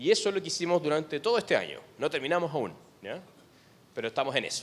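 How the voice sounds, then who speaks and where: Vocal fry runs through a man's speech at a fairly quick pace. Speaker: education researcher. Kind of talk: seminar presentation. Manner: filler-heavy with frequent ¿verdad? tags.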